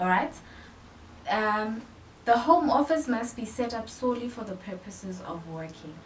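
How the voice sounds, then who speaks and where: Big swings in loudness and very wide pitch swings, with audible room echo, long frequent pauses and noticeable background noise. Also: woman, fairly high pitch for a woman, moderate pace. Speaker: personal finance YouTuber. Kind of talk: tutorial.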